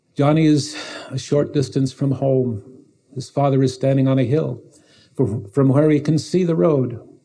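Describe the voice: Fairly even intonation over plain reading aloud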